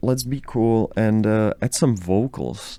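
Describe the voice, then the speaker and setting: Speaking very slowly with a Czech accent, a man uses a fairly low pitch and a dark, mellow tone. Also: very clean recording, silent background. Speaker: music producer, YouTuber. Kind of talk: casual tutorial. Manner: casual, hesitant with many fillers.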